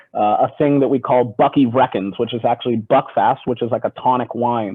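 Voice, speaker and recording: Speaking at a fairly quick pace with fairly even intonation, this man has a medium pitch and an American accent. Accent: American, weak Scottish brogue per colleagues. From US Pacific Northwest, Seattle. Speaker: whisky brand ambassador. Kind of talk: video call interview.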